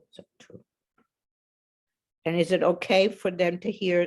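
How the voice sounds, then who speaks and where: A woman with a non-native accent speaks at a fairly slow pace. Her pitch is fairly low. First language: not English. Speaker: moderator. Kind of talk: Q&A moderation.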